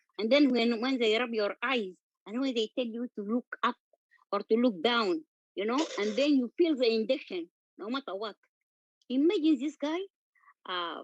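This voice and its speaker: With a non-native accent, a woman with a fairly high pitch speaks at a moderate pace in a dry, close sound with no echo. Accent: noticeable non-native. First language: Arabic. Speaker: patient sharing experience of medical racism. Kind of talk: testimony. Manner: halting.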